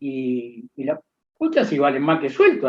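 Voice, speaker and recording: A man talks at a moderate pace. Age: 60s. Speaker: accountant and professor. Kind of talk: interview. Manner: halting, many fillers and repetitions.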